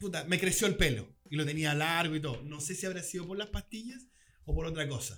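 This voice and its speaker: A man's fairly high, bright, sharp voice with a Chilean accent, lively intonation and a fairly quick pace. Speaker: podcast co-host. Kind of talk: casual chat. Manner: fast.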